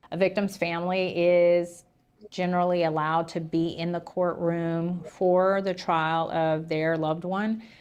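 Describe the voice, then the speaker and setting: In a Southern US accent, a woman speaks at a fairly slow pace with monotone, flat intonation. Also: fairly low pitch for a woman. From Tennessee. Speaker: livestream host covering a trial. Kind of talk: casual commentary on news. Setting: livestream.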